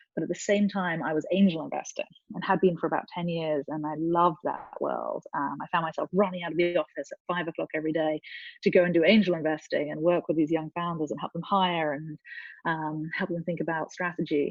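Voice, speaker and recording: A woman with an English accent speaks fairly quickly in a fairly low voice with monotone, flat intonation. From England. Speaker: venture capital investor. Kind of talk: interview.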